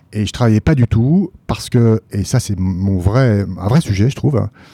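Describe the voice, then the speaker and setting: A man's dark, mellow, fairly low voice at a fairly slow pace, with ordinary pitch variation and a dry, close sound free of echo. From France, Paris region and Nancy. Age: 30s. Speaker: public investment bank executive. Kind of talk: casual interview.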